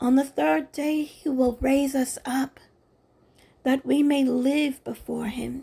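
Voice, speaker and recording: At a very slow pace, a woman speaks with a high pitch and a dark, mellow tone. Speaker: Bible reader. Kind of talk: scripture reading.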